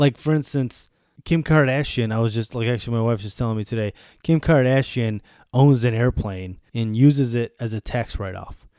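With an American accent, a man of medium pitch speaks at a fairly quick pace in a dark, mellow tone with ordinary pitch variation, on a very clean recording with a silent background. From US Northeast, Buffalo, New York. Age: 30s. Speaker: podcaster. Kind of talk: casual monologue. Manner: animated.

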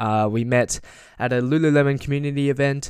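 Using an ordinary speaking voice, a man with a fairly high pitch talks at a moderate pace with ordinary pitch variation. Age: 20s. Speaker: podcast host. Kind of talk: casual interview.

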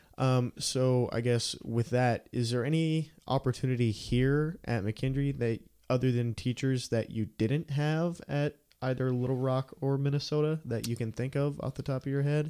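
At a moderate pace and very even loudness, a man with medium pitch, a dark, mellow tone and fairly even intonation speaks in a very clean recording with a silent background. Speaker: college radio podcast host and student. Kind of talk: casual interview. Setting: studio.

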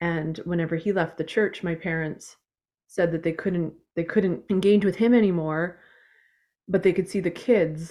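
A woman talks at a moderate pace in a Canadian accent, her pitch fairly low and her intonation fairly even. Her tone is dark and mellow, on a very clean recording with a silent background. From Eastern Canada. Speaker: author. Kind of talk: interview testimony. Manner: halting, repeats words.

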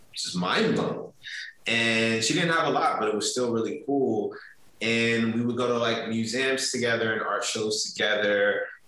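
Amid noticeable background noise and audible room echo, a man with an American accent speaks at a moderate pace. His pitch is medium with ordinary variation, and his loudness stays very even. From US Mid-Atlantic (DMV area). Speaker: marketing executive. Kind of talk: interview.

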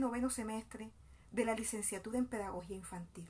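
A somewhat breathy woman speaks at a moderate pace in a fairly high pitch. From Colombian Caribbean coast, Bolívar. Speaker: education student and community mother. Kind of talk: scripted narration. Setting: outdoors in a public plaza.

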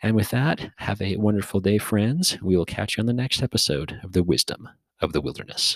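With a normal speaking voice, a man speaks fairly quickly at a fairly low pitch and with lively intonation. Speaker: podcast host. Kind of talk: casual interview chat. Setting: in-person recording.

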